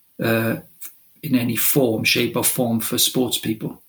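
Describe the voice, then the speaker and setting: Talking at a fairly slow pace, a man speaks with a Welsh accent. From Wales. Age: 50s. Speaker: football director and sports ministry leader. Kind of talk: interview.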